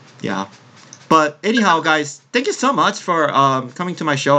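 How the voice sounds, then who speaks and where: With a bright, sharp tone, a man speaks at a moderate pace. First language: Korean. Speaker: podcast host. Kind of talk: casual chat.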